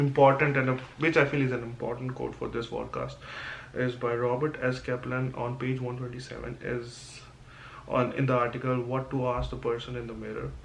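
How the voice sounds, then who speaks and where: Speaking at a fairly quick pace, a man with a medium pitch talks in a monotone, flat intonation, with audible room echo. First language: not English. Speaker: student. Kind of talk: class presentation podcast. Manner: halting.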